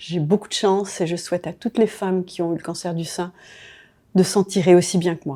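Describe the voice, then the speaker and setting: A woman's fairly low, dark, mellow voice at a fairly quick pace. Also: fairly even intonation, very clean recording, silent background. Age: 70s. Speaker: retiree, breast cancer survivor. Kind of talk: testimony.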